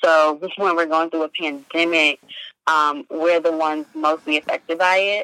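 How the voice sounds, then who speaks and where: In an American accent, the voice is bright and sharp, moving at a moderate pace with monotone, flat intonation and a dry, close sound with no echo. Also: woman, fairly low pitch for a woman. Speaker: entrepreneur and nonprofit founder. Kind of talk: interview.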